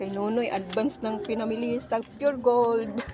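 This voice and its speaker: A woman's fairly high, fairly slow voice against noticeable background noise. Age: 60s. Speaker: vlogger. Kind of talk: casual vlog. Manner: animated.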